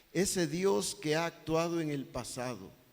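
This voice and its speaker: A man talks with ordinary pitch variation, and audible echo fills the room. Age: 60s. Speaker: pastor. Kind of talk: sermon.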